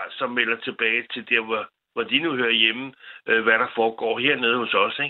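A man at medium pitch and a moderate pace, with monotone, flat intonation. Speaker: caller. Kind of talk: casual chat. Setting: phone call.

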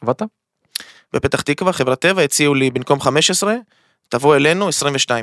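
Keeping his loudness very even, a man talks at a moderate pace with ordinary pitch variation and long, frequent pauses. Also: fairly high pitch for a man. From Israel (Ashdod). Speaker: crypto trading academy founder. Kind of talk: casual chat. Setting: studio. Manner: animated.

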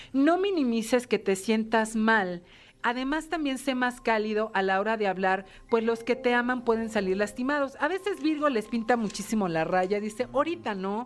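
A woman speaks with a fairly high pitch and an unremarkable speaking voice, her intonation lively and her pace moderate. The recording is very clean, with a silent background. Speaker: astrology segment presenter. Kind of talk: casual horoscope reading.

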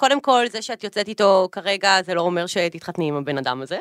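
A loud woman with a bright, sharp tone and very wide pitch swings, in dry, close sound with no echo. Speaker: influencer and businesswoman. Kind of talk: casual chat. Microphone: echo in the room.

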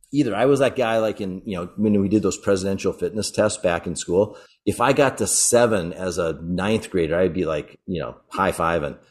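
A man with an ordinary speaking voice, fairly low in pitch, at a moderate pace with ordinary pitch variation and hardly any pauses, over a quiet background. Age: 50s. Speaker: fitness coach for older men. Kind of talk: interview.

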